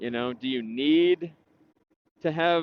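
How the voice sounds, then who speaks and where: A man with an American accent speaks at a fairly slow pace in a fairly high pitch. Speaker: real estate agent. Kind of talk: casual vlog monologue. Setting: outdoors, riding a bike. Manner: halting, with pauses and repeated words.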